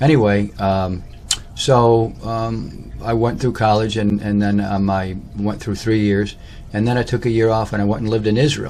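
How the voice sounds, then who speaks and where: Amid audible room echo, a man with an American accent speaks at a fairly low pitch in a monotone, flat intonation. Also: moderate pace. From Michigan (Lansing), US Midwest. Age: 60s. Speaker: personal storyteller / vlogger. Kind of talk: autobiographical monologue. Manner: halting, many fillers and false starts.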